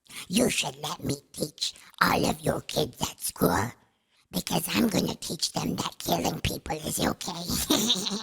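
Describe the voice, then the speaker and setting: Putting on a menacing character voice, a man speaks at a fairly slow pace in a fairly high voice with very wide pitch swings. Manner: creepy, menacing.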